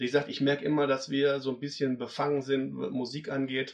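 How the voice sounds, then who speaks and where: This man has an unremarkable speaking voice pitched fairly high. His pitch varies in an ordinary way. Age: 40s. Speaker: event organizer. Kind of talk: interview.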